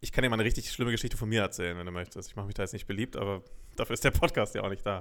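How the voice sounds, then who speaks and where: Talking very fast, a man with a fairly low pitch shows ordinary variation in his pitch. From Lower Saxony (Braunschweig area). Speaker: podcast co-host. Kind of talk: casual chat.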